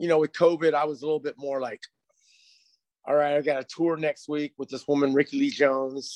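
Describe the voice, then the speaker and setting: Speaking fairly quickly with an American accent, a man has a normal speaking voice and a fairly high pitch. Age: 50s. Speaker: percussionist. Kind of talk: casual chat.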